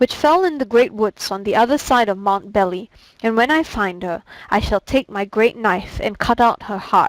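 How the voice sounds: This is a natural reading voice. It carries the words through.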